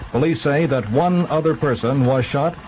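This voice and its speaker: A man's pitch moves in an ordinary way against noticeable background noise. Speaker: radio newsreader. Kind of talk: radio news bulletin.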